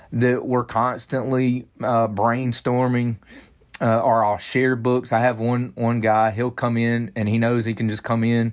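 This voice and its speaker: A man with a Southern US accent at a fairly slow pace, medium in pitch, with monotone, flat intonation and very even loudness. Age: 30s. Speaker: pastor. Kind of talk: interview.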